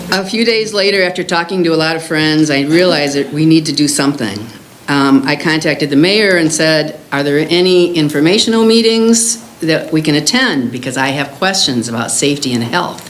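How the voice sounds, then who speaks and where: Fairly quick and lively in intonation, the speaker talks with an American accent over noticeable background noise and audible room echo. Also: woman, very deep, low pitch for a woman. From US Midwest, Illinois. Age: 70s. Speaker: concerned resident speaking at public comment. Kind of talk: public comment at village board meeting.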